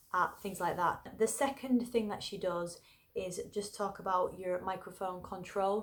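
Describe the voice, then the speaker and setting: In an English accent, a woman talks at a medium pitch. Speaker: singer and vocal tips youtuber. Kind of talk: tutorial. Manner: casual, chatty.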